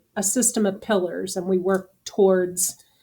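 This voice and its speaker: Her voice is a flat monotone, dark and mellow, at a medium pitch for a woman. She speaks fairly slowly on a very clean recording with a silent background. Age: 60s. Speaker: business owner and post-exit advisor. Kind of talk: podcast interview.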